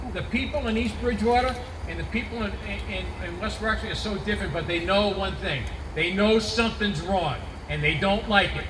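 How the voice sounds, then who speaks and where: Amid noticeable background noise and audible room echo, a man with a Boston accent talks at a fairly quick pace. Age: 60s. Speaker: congressional candidate. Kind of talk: campaign speech at rally. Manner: animated.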